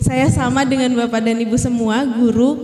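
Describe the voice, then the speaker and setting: A woman with a Sundanese accent is heard with audible room echo and noticeable background noise. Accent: Sundanese-tinged Indonesian, noticeable. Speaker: teacher and workshop speaker. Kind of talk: workshop presentation. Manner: polite, formal address with hesitations.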